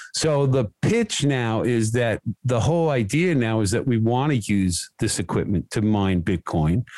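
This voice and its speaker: In an unremarkable speaking voice, a man with an American accent talks at a medium pitch and fairly slow pace, with lively intonation and hardly any pauses. His loudness stays very even, and the sound is dry and close with no echo. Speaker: contractor. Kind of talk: casual chat.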